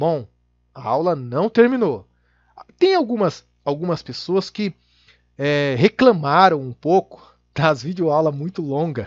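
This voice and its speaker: This man talks at a very slow pace with long, frequent pauses and a fairly high pitch. His intonation is lively, and the sound is dry and close with no echo. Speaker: Excel VBA instructor. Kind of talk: tutorial.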